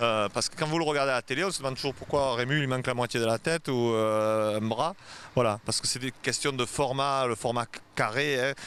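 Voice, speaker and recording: This man's medium-pitched voice, with ordinary pitch variation, moves at a fairly quick pace. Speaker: author and cinema director. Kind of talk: casual conversation. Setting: book fair. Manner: fast.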